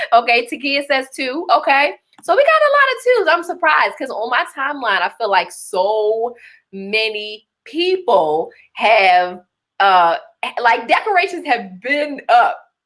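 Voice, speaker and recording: An animated tone with very wide pitch swings comes through in a Baltimore accent. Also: woman, high pitch for a woman, fairly slow pace. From Baltimore, Maryland. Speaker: livestream host and business coach. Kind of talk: live-streamed masterclass talk. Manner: animated, conversational.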